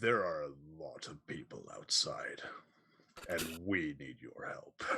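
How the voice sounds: In a put-on character voice, a man talks at a fairly slow pace, sounding raspy.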